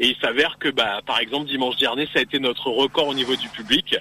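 Over noticeable background noise, a man talks fairly quickly at a fairly high pitch. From Picardy, northern France. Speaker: beauty pageant regional delegate. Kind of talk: radio interview. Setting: phone call from a car.

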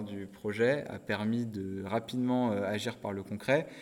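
A man speaks at a fairly slow pace with a medium-pitched voice. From northern France, Nord-Pas-de-Calais. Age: 20s. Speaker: social entrepreneur. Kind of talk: interview. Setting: coworking space. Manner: hesitant, many fillers.

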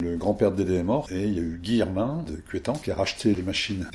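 At a fairly quick pace, a man with a very deep, low pitch speaks with ordinary pitch variation. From France, Isère. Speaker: villager recalling childhood. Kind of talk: oral history interview.

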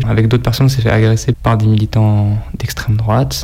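Noticeable background noise sits behind a man speaking at a fairly quick pace, medium in pitch and with ordinary pitch variation. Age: 20s. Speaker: sticker collector. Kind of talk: interview.

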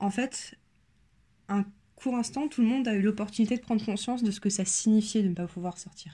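Speaking at a fairly quick pace with long, frequent pauses, a woman has a fairly high pitch, ordinary pitch variation, a dark, mellow tone and a somewhat breathy sound. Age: 20s. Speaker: person sharing lived experience of panic disorder. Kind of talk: personal testimony. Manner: hesitant, many filler sounds.

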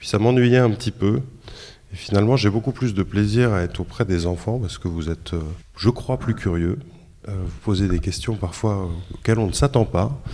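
On a very clean recording with a silent background, a man with a fairly low pitch and a dark, mellow tone speaks at a moderate pace, leaving long, frequent pauses. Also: ordinary pitch variation. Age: 40s. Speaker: freelance reporter. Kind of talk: interview answers for a school radio show. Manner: hesitant, many repetitions.

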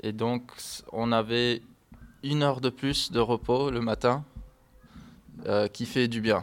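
A man with an English accent speaks at a very slow pace with long, frequent pauses. His pitch is medium and his intonation fairly even. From US, Miami, Florida. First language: English (speaking French). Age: 20s. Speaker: English language assistant. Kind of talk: interview. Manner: halting.

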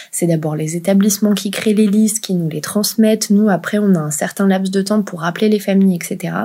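A woman talks at a moderate pace and medium pitch, with hardly any pauses. Her intonation is fairly even, and there is noticeable background noise. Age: 20s. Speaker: work psychologist. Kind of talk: interview conversation. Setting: remote recording.

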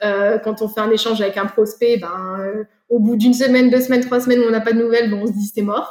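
A woman talks at a very fast pace. Her fairly high voice has monotone, flat intonation. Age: 30s. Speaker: soil scientist and startup founder. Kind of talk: interview.

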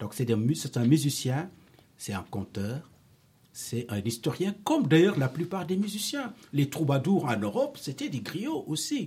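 A man with a fairly high pitch and a dark, mellow tone speaks somewhat breathily at a fairly slow pace, with very wide pitch swings. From Senegal. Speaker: storyteller and musician. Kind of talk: interview answers to schoolchildren. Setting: school.

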